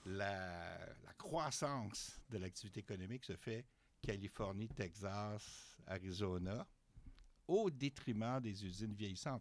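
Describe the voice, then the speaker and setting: Using a normal speaking voice, the man keeps his pitch fairly low and lets it vary in an ordinary way. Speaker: university professor of political economy. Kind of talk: interview. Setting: studio.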